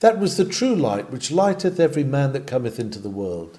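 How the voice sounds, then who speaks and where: Somewhat breathy, this voice has a dark, mellow tone. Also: man. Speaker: sermon reader. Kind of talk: sermon reading.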